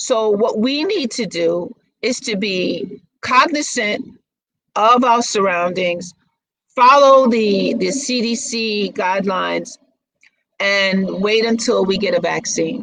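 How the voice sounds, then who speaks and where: A woman with an American accent, fairly high pitch, ordinary pitch variation and a very slow pace. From Brooklyn, New York. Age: 60s. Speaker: model and actress. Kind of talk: interview.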